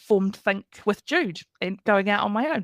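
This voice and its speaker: Heard in a very clean recording with a silent background, a woman speaks at a medium pitch in a New Zealand accent. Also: dry, close sound with no echo. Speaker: career coach. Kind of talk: podcast interview. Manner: conversational.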